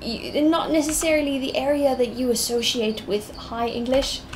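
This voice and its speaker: With noticeable background noise and audible room echo, a woman talks at a fairly slow pace with ordinary pitch variation. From South Africa, Limpopo. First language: Afrikaans. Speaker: artist streaming while drawing. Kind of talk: casual live-stream chat. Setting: live stream from home computer.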